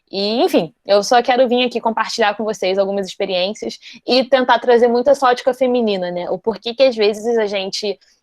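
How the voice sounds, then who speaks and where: Her voice sits fairly high for a woman, moving at a fairly quick pace with hardly any pauses and ordinary pitch variation. The sound is dry and close, with no echo. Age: 20s. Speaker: computer science student and talk presenter. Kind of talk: online talk to an audience. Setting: video call. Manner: fast.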